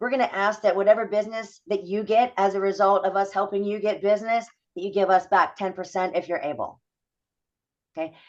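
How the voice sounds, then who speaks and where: Speaking fairly quickly, a woman keeps her intonation fairly even. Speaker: network founder and speaker. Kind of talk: informational video call presentation. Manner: loud; high energy.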